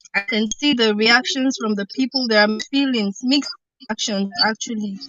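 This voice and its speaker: A woman's fairly high voice, varying in pitch in an ordinary way, is heard with music playing behind it. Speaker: commentator on election cases. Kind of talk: panel discussion. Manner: quiet. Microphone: poor audio.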